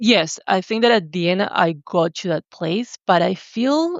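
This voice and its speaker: Here a woman talks with a Spanish accent. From Argentina. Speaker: writer and visual artist. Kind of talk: podcast interview, personal testimony.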